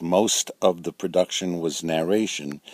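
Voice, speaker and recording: In a New York accent, a man with a very deep, low pitch speaks at a fairly slow pace with monotone, flat intonation, in a dry, close sound with no echo. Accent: New York accent, come back. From New York City. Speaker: storyteller recounting his life. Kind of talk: personal memoir narration. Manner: hesitant, many uh fillers.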